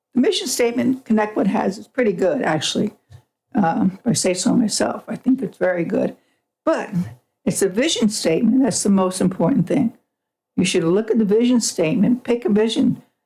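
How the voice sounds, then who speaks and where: Here a woman speaks fairly quickly at a fairly high pitch. Her voice is somewhat breathy, with ordinary pitch variation. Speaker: public commenter at school board meeting. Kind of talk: public comment. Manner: fast.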